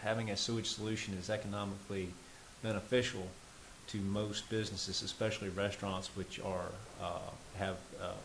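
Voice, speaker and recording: Speaking at a fairly quick pace, a man with a fairly low pitch keeps a monotone, flat intonation while room echo is audible. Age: 60s. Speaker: local government official. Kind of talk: public meeting remarks. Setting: town planning commission meeting. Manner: halting with fillers.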